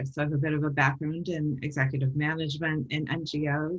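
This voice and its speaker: A woman speaks in a very deep, low, somewhat breathy voice. Her intonation is monotone and flat, and her pace moderate. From US, New York. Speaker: social worker, nonprofit consultant, workshop presenter. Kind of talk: webinar presentation.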